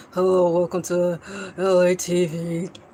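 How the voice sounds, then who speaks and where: The speaker uses a put-on character voice at a middle pitch. Delivery is monotone and flat at a moderate pace. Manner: flat, monotone.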